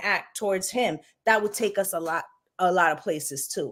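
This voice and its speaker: A woman speaks with a New York accent and lively intonation. The recording is very clean, with a silent background. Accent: New York City. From New York City, Puerto Rican heritage. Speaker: tarot reader and live-stream host. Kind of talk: casual discussion on live stream. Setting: live stream. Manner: speaks with conviction.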